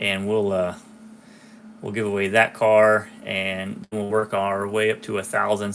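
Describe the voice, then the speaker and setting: A man speaks in a fairly low, monotone voice with flat intonation. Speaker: diecast collector YouTuber. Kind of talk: live stream solo talk. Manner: casual with many fillers.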